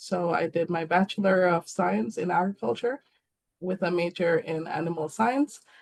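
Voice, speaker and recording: In a dry, close sound with no echo, a woman with a fairly low pitch and vocal fry talks at a moderate pace with lively intonation. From Jamaica. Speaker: animal nutritionist. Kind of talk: career talk. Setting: online webinar. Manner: hesitant, many fillers.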